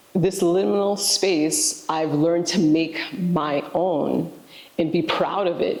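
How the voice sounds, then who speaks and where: Amid noticeable background noise and audible room echo, a woman with a New York accent speaks very slowly at a fairly low pitch, with ordinary pitch variation. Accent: New York American. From New York City, Haitian-American. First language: Haitian Creole. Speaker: educator, director of a language immersion program. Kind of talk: interview, personal reflection. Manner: halting, with fillers.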